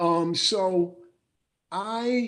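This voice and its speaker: A man with a New York accent speaks in a high voice, with ordinary pitch variation. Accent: New York American English. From New Rochelle, New York, USA. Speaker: former professional basketball player, memoir author. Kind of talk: interview answer.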